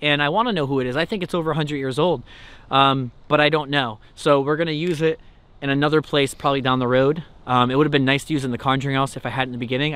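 A man speaks at a very fast pace. The sound is dry with no echo. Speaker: paranormal video host. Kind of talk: casual vlog chat. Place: open country.

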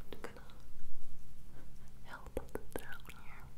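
A soft-spoken voice, whispering throughout. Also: woman. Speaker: ASMR creator. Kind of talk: ASMR whisper chat. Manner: close, soft ASMR whisper. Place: bathroom.

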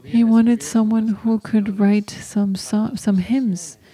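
A woman's fairly high voice at a very slow pace, with very even loudness. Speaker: homily preacher. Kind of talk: homily at Mass. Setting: church during Mass. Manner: devout, earnest teaching tone; code-switching between English, Spanish and Latin. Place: church. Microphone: podium.

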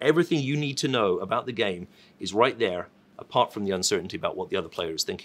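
A man talking very fast, with very wide swings in pitch. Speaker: industry analyst. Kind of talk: conference keynote preview talk. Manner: casual, uses filler words like um. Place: office. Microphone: lapel.

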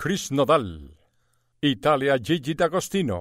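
Speaking very slowly with vocal fry, a man with fairly high pitch is heard on a very clean recording with a silent background. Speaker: radio show host. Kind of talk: radio show promo announcement.

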